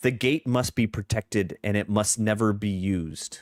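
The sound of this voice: A man's put-on character voice, raspy and fairly low-pitched, with ordinary pitch variation and a moderate pace, very even in loudness, in a dry, close recording with no echo, very clean with a silent background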